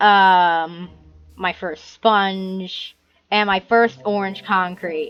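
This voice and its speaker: The speaker is a woman at medium pitch, using monotone, flat intonation. She goes at a very slow pace. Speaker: gaming youtuber. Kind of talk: gameplay tour commentary. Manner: halting, many fillers.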